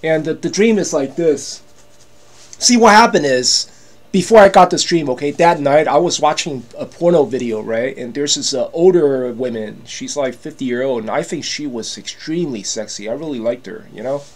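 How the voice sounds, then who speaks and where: A man's animated voice at a moderate pace, with lively intonation and big swings in loudness. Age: 50s. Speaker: YouTuber selling products. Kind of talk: casual vlog monologue. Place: home room. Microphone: webcam.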